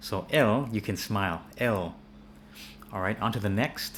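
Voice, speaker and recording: A man with an American accent speaks at a fairly low pitch. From United States. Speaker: English teacher. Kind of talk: tutorial. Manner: halting, repeats words.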